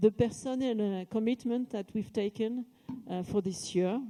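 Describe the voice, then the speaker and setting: With a French accent, a woman speaks at a moderate pace in a medium pitch, her tone dark and mellow and her intonation fairly even. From France. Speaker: company executive. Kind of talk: corporate event speech.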